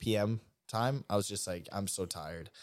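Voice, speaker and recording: With a plain, everyday voice, a man talks at a moderate pace and a fairly low pitch, using ordinary pitch variation. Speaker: podcast host. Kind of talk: casual chat.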